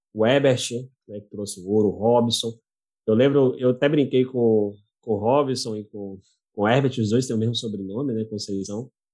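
A man's dark, mellow tone comes with big swings in loudness. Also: medium pitch for a man, fairly even intonation, moderate pace. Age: 20s. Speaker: podcast host. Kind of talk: casual interview.

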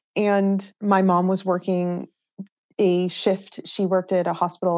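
A woman at a fairly slow pace and medium pitch, against a quiet background. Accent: American. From US Northeast, New Hampshire. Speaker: professional mountain biker. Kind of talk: casual interview chat.

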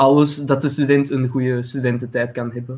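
A man speaks in a Flemish accent. His medium-pitched voice stays flat and monotone. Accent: Flemish Dutch. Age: 20s. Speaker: student association vice president. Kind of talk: casual chat.

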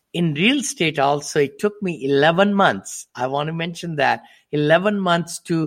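The speech has ordinary pitch variation and a fairly slow pace, captured in a very clean recording with a silent background. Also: man. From India. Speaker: real estate investor. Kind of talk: interview.

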